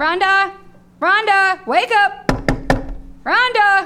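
This put-on character voice has a bright, sharp tone and ordinary pitch variation. It moves at a very slow pace. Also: woman, extremely high pitch for a woman.

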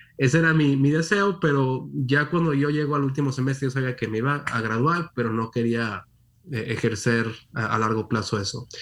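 This man has a plain, everyday voice. His pitch is medium, with ordinary pitch variation. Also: moderate pace. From Monterrey, northern Mexico. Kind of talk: interview.

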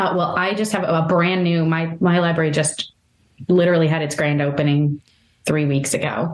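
A woman speaks at a moderate pace with a fairly low pitch. Her intonation is fairly even and her loudness very even. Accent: Midwestern American. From US Midwest, northeastern Ohio. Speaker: library collection development manager. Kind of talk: interview.

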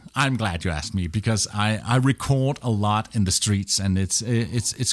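A man with a Danish accent, fairly low in pitch, at a moderate pace with ordinary pitch variation, in a very clean recording with a silent background. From Denmark. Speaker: radio professional and travel podcaster. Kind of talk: interview. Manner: halting.

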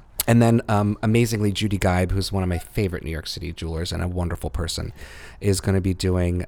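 A man's very deep, low voice with a dark, mellow tone, ordinary pitch variation and an American accent. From US Northeast, suburban Philadelphia (Montgomery County). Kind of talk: interview.

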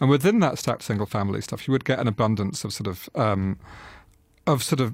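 This man's voice sits fairly low. He talks at a very fast pace. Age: 30s. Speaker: culture editor and author on architecture. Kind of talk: interview discussion. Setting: radio studio. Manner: hesitant, repeats words.

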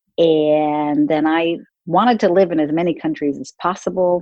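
A woman with an American accent has an unremarkable speaking voice, fairly low in pitch, with ordinary pitch variation. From San Francisco, US. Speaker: corporate CEO and author. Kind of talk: interview.

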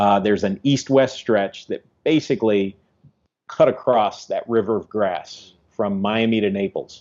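A man's fairly low, an unremarkable speaking voice with a American accent, fairly even intonation and a fairly slow pace. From Ohio, US Midwest. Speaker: ecologist. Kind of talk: interview.

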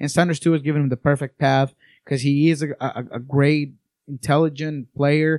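Fairly high-pitched and monotone, a man with a Spanish accent speaks at a fairly quick pace on a very clean, dry, close recording with no echo and a silent background. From Colombia, Bogota. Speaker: soccer writer and scout analyst. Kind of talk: casual podcast chat. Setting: studio.

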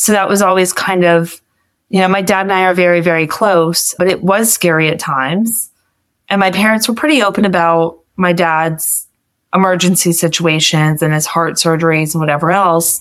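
An unremarkable speaking voice from a woman, fairly low-pitched, at a moderate pace. Her loudness stays very even and her intonation fairly even. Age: young. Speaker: college student with Marfan syndrome, caregiver to her father. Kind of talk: interview.

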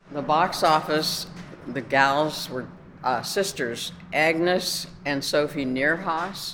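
A woman with an American accent, very deep and low in pitch, at a very slow pace with ordinary pitch variation, over noticeable background noise. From Youngstown, Ohio, US Midwest. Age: 80s+. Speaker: daughter of the theater's builder. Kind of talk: casual reminiscing on a tour. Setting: inside an old theater.

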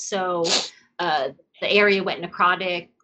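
Speaking fairly slowly, a woman talks with an American accent. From New York. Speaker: scuba diver and aquarium curator. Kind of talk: interview.

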